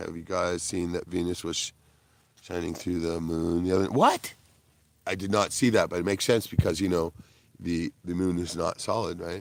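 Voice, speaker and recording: This man's voice sits very deep and low in pitch. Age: 60s. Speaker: livestreamer and stand-up comedian. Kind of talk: casual livestream chat. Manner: animated.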